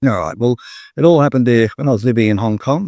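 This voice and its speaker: Speaking very fast, a man with an Australian accent holds a medium pitch. The sound is dry and close with no echo, on a very clean recording with a silent background. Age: 60s. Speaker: gym business expert. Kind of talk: interview. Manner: halting.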